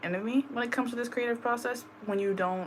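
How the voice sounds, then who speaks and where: Over noticeable background noise, a woman talks at a very fast pace with ordinary pitch variation. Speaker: spiritual reader. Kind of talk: personal tarot reading vlog. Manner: casual, filler-heavy.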